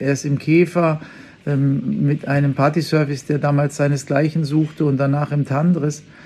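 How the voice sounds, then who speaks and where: At a moderate pace, a man speaks with fairly high pitch, monotone, flat intonation and very even loudness. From western Germany (Unna, Ruhr area). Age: 50s. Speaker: chef. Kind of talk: interview. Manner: hesitant, frequent fillers.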